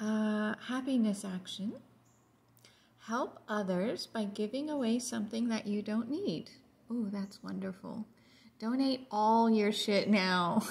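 Somewhat breathy, a woman talks at a fairly slow pace with fairly even intonation. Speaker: home vlogger. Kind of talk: casual vlog chat. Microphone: phone near.

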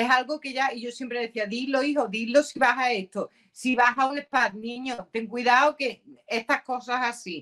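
A woman speaks at a moderate pace in a high, bright, sharp voice, her intonation fairly even but her loudness swinging widely, over a quiet background. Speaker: YouTuber. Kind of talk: casual chat. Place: home room.

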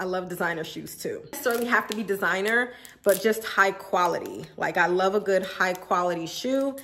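Delivery is at a moderate pace with few pauses. The tone is fairly bright, with ordinary pitch variation. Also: woman, medium pitch for a woman.

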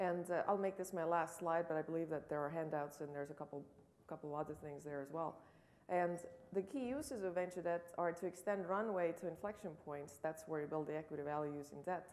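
Her pitch fairly low, a woman speaks with ordinary variation in it. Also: fairly quick pace. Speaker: debt financing investor, biologist. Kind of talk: panel discussion. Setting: stage with audience. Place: hall. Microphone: podium.

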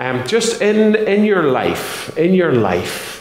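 A man's pitch swings very widely, and audible room echo hangs around his words. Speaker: pastor. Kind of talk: moderated church interview. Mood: warm, friendly. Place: church.

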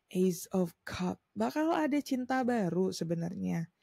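A woman's medium-pitched, somewhat breathy voice with a dark, mellow tone and lively intonation, in a dry, close sound with no echo. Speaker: tarot reader. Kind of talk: tarot reading monologue. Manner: casual, mixing Indonesian and English.

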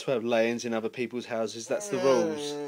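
With a British accent, a man talks at a very fast pace and a medium pitch. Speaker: vlogger. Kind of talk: casual vlog chat. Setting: shop. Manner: animated.

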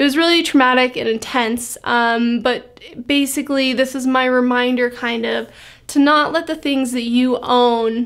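Over a quiet background, a woman speaks at a high pitch and moderate pace with fairly even intonation. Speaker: vlogger. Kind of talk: casual vlog chat.

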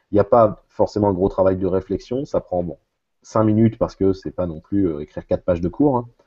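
This man has a fairly low pitch and ordinary pitch variation, talking at a fairly quick pace. The background is quiet. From central France. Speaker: math teacher. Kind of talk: casual chat. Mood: relaxed, explanatory. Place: home room. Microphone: earbuds.

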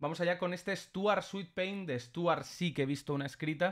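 A man speaks against a quiet background. His pitch varies in an ordinary way. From Spain (Barcelona). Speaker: freestyle rapper reacting to battles; streamer reacting. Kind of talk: live reaction stream commentary. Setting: livestream with chat. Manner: animated. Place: home room. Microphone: studio mic.

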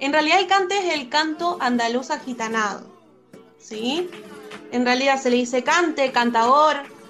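Over music in the background, a speaker with an Argentine accent talks at a moderate pace with lively intonation. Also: woman, high pitch for a woman. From Comodoro Rivadavia, Argentina. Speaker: flamenco dancer and singer. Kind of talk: interview answer.

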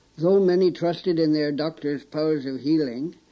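Ordinary pitch variation shapes this speech. It is a plain, everyday voice. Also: man. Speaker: documentary presenter. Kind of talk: documentary narration.

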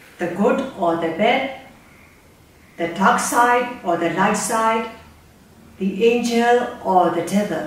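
A woman speaks very slowly with ordinary pitch variation. Strong room echo surrounds her voice. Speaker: reader discussing a storybook. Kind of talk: book talk, retelling and personal opinion. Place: home room.

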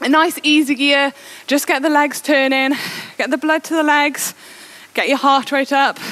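Moderate pace from a woman, her voice pitched high. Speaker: indoor cycling coach. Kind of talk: workout instruction. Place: home room. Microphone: headset.

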